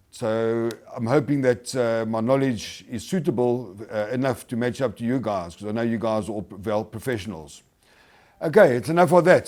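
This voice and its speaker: Speaking at a moderate pace with a South African accent, the voice carries lively intonation. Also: man. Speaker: hardwood flooring installer and product promoter. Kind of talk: webinar presentation. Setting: webinar.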